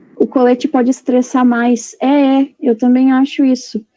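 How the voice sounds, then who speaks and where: This woman's pitch is high and her tone dark and mellow. She talks at a fairly slow pace. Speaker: veterinary student. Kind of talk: online presentation.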